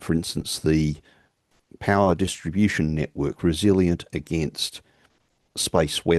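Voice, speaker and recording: With an Australian accent, a man speaks in a very deep, low voice with fairly even intonation at a fairly slow pace with long, frequent pauses, recorded dry and close with no echo. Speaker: keynote speaker, engineering academic. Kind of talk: conference Q&A answer.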